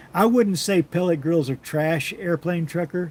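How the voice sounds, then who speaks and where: Speaking at a moderate pace with ordinary pitch variation, a man sounds somewhat breathy. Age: 60s. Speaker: BBQ livestream host. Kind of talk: live stream chat reading comments. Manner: casual, conversational.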